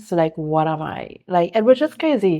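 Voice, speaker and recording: In a Caribbean accent, a woman with a fairly low pitch speaks at a fairly slow pace. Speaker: content creator and entrepreneur. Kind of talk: casual chat.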